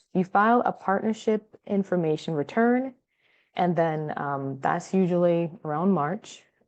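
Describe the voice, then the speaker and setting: Moving at a moderate pace with ordinary pitch variation, this is a plain, everyday voice. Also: woman. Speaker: tax consultant. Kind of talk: webinar presentation. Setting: online webinar.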